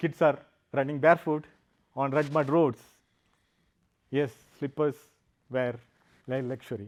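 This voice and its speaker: Speaking with a Keralan accent and fairly even intonation, the voice leaves long, frequent pauses on a very clean recording with a silent background. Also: man, fairly high pitch for a man, moderate pace. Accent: Indian (Malayali). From South India, Kerala. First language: Malayalam. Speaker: software engineer and founder, speaker. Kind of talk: public talk. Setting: stage with audience.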